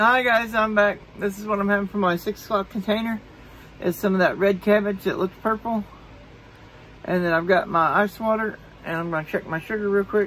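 Light background noise sits under speech that goes at a fairly quick pace. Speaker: diet vlogger. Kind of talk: casual vlog chat. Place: home room. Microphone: phone near.

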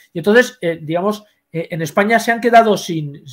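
Someone speaks at a fairly quick pace against a quiet background. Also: man. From Spain. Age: 60s. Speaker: history professor. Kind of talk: interview. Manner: halting. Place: home room.

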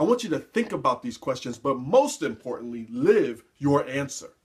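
A man speaks at a moderate pace with a fairly high pitch. The background is quiet. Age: 40s. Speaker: motivational speaker and life coach. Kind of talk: motivational talk to camera. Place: office. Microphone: webcam.

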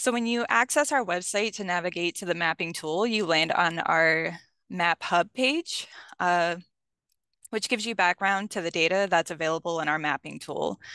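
The tone is bright and sharp, the pace moderate, with ordinary pitch variation. The sound is dry with no echo, and the background is quiet. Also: woman, fairly low pitch for a woman. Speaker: mapping specialist. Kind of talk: webinar presentation. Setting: video call. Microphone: video call.

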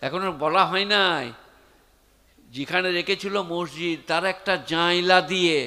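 The man's voice is high-pitched with a bright, sharp tone. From West Bengal, India. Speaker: Islamic preacher. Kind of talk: sermon. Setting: stage with audience. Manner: animated. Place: stage. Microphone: handheld.

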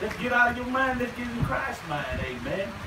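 Male speech at a moderate pace, noticeable background noise behind it. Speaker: preacher. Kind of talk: revival sermon. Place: tent.

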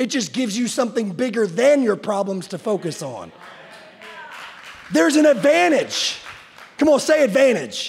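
Amid noticeable background noise, a man speaks at a moderate pace with an extremely high pitch that swings very widely. He leaves long, frequent pauses. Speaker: pastor. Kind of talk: sermon. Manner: animated.

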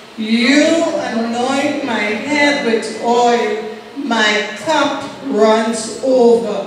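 Strong room echo and noticeable background noise surround a woman with a high pitch. She speaks at a very slow pace with fairly even intonation. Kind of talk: scripture reading and exhortation. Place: church.

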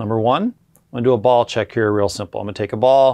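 A man speaks with ordinary pitch variation. The background stays quiet. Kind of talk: tutorial. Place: shop. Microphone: lapel.

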